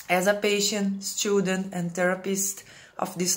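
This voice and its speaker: A woman speaks in a Brazilian Portuguese accent at a medium pitch. Her intonation is monotone and flat. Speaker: Ayurvedic practitioner. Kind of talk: reading aloud. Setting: pre-recorded video.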